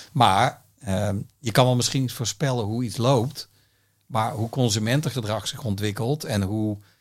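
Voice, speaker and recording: The recording is very clean, with a silent background. A man with a medium pitch talks at a fairly slow pace and ordinary pitch variation. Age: 50s. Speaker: music industry executive. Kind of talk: interview. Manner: halting.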